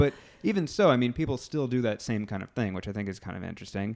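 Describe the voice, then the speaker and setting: This man has an ordinary speaking voice, a medium pitch and ordinary pitch variation. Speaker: podcast host. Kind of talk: interview questions, casual conversation.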